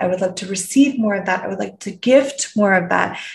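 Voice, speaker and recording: This woman has a Canadian accent and a medium pitch, with ordinary pitch variation. Her voice is somewhat breathy, with a warm tone. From Canada. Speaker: podcast host, personal development coach. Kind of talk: reflective solo podcast monologue. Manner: warm, inquisitive, with frequent laughs.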